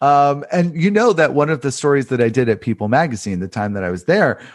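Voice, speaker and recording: The voice swings very widely in pitch against a quiet background. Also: man. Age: 30s. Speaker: journalist and author. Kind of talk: casual chat.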